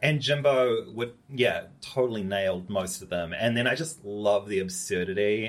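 A man speaks in a New Zealand accent. His pitch is fairly low and varies in an ordinary way. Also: moderate pace. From New Zealand, Upper Hutt. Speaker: fashion designer. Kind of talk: casual chat. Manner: animated.

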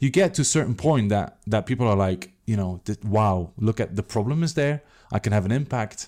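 On a very clean recording with a silent background and a dry, close sound with no echo, a man speaks very fast in an animated tone, his fairly low pitch showing ordinary variation. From Belgium. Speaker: tech startup CEO and co-founder. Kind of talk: interview.

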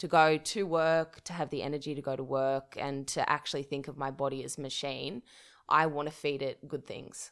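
With an Australian accent, a woman speaks in monotone, flat intonation at a moderate pace and a very deep, low pitch. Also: very clean recording, silent background. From regional New South Wales, Australia (Dubbo). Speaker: journalist and podcaster. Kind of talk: casual interview chat.

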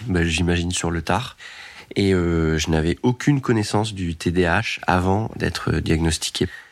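A man talks at a fairly slow pace in a very deep, low pitch with ordinary pitch variation. The recording is very clean, with a silent background. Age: 30s. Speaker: adult diagnosed with ADHD. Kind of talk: testimony.

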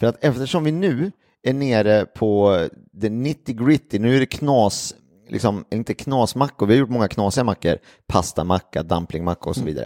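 A dark, mellow tone with lively intonation comes through on a very clean recording with a silent background. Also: man, medium pitch for a man, moderate pace. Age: 40s. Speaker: podcast host. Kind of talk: casual chat.

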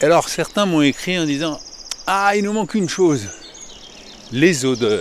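A man talks at a fairly slow pace in a high pitch with lively intonation. Long, frequent pauses break his speech against noticeable background noise. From Paris. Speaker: podcaster walking a pilgrimage route. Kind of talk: travel audio diary. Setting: outdoors walking.

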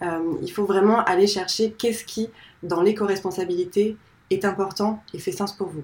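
Using a normal speaking voice, a woman talks at medium pitch and a fairly slow pace with fairly even intonation. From north-eastern France. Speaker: founder of eco-design school. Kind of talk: interview conversation.

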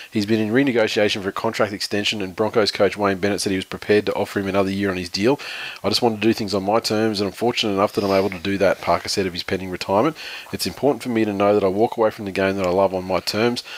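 A man with an Australian accent at a very fast pace, with fairly low pitch and fairly even intonation. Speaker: podcast host, rugby league. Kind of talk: casual chat. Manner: jokey, talkative.

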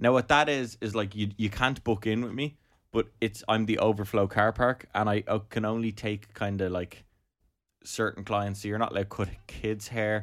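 A man with an Irish accent, fairly low in pitch, at a moderate pace with fairly even intonation. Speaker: part-time barber. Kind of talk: casual chat.

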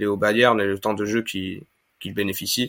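In a very clean recording with a silent background, a man talks. His intonation stays fairly even. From Spain, Granada. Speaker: football fan account manager. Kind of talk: casual podcast discussion.

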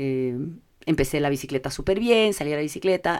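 A plain, everyday voice with lively intonation comes through on a very clean recording with a silent background. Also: woman. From Ecuador. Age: 50s. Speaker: corporate affairs manager. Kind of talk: interview conversation. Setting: studio.

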